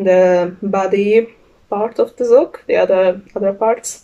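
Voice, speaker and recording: A woman with a strong non-native accent speaks at a very slow pace. Her medium-pitched voice has a dark, mellow tone. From Hungary. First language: Hungarian. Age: young. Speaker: knitter, student. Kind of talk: casual podcast talk. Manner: hesitant, many fillers.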